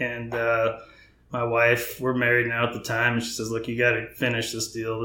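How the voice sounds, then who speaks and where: A voice with an American accent carries audible room echo. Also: man. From North Texas (Frisco). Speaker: home builder. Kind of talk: casual interview.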